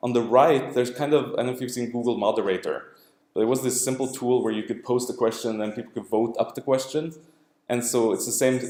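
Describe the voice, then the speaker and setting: A man rattles along at a very fast pace in a medium-pitched voice. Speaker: academic researcher presenting his work. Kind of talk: lecture. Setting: lab seminar room with audience.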